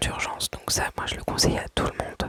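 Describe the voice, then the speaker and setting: A woman whispers at a fairly slow pace. The sound is dry and close with no echo, over noticeable background noise. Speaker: ASMR creator. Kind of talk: casual talk to camera, budgeting story time. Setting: home recording with dishwasher noise in background. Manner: soft-spoken, calm, relaxing, not whispered.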